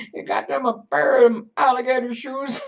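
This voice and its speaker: Put-on character voice at a moderate speed, its pitch fairly high. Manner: elderly.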